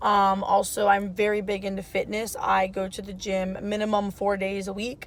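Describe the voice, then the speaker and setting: This is a woman with a plain, everyday voice at a medium pitch. She talks at a moderate pace. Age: 20s. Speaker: lifestyle vlogger, mom and student. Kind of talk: casual vlog talk to camera. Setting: in a car. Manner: casual with many fillers.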